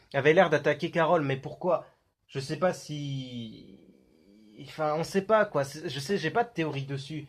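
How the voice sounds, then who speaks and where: Somewhat breathy speech at a fairly slow pace, with ordinary pitch variation, comes through on a very clean recording with a silent background. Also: man. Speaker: YouTuber analyzing film trailers. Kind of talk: casual video commentary. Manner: hesitant, many fillers.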